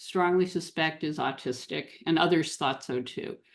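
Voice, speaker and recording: A woman speaks at a fairly slow pace in a fairly low pitch, with an unremarkable speaking voice. The background is quiet. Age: 60s. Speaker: relationship coach for neurodiverse couples. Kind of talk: podcast interview.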